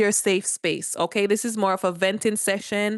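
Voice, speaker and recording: Against a quiet background, a woman with a Jamaican accent speaks at a fairly high pitch with fairly even intonation in a dry, close sound with no echo. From Jamaica, rural. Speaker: live streamer. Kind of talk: casual livestream chat. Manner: chatty, informal.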